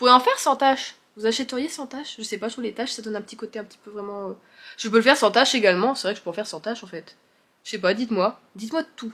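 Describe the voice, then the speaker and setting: With big swings in loudness, a woman talks at a very fast pace in a fairly high pitch. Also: ordinary pitch variation. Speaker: book and crochet vlogger. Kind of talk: casual vlog chat. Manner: hesitant, filler-heavy.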